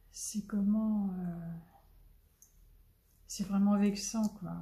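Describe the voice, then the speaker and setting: A woman of medium pitch speaks very slowly in a monotone, flat intonation, with audible room echo. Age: 70s. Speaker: crafting youtuber. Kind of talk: casual chat. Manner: halting.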